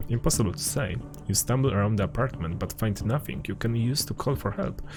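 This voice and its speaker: A man with a Polish accent speaks at a moderate pace in a fairly low, somewhat breathy voice with ordinary pitch variation. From Poland. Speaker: gaming streamer. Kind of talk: reading aloud game text.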